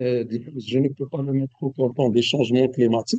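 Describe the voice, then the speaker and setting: This man's voice sits at a medium pitch. It sounds dry and close, without any echo. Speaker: economics expert speaker. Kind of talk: webinar lecture. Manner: hesitant, many fillers; loud, projecting voice.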